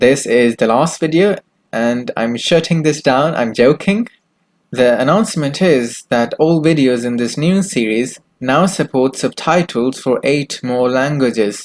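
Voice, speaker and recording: The pace is fairly slow, and the pitch varies in an ordinary way. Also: man, medium pitch for a man. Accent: Pakistani. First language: Urdu. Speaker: YouTube news host. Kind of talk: news reading.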